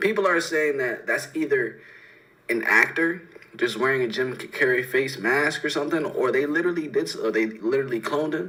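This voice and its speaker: With an American accent, a man talks at a fairly quick pace in a fairly high voice, with audible room echo and noticeable background noise. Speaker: livestream reaction host. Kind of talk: casual livestream reaction commentary.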